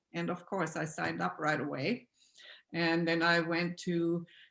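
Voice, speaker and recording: A woman with an Austrian accent at a moderate pace, on a very clean recording with a silent background. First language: German. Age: 60s. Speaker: alternative healing practitioner. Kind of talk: interview.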